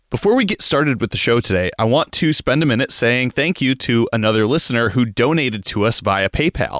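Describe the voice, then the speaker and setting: In a normal speaking voice, a man talks at medium pitch and a fairly quick pace with lively intonation, very even loudness and hardly any pauses. The recording is very clean with a silent background and a dry, close sound with no echo. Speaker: audio producer and co-host. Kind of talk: podcast intro and outro reading.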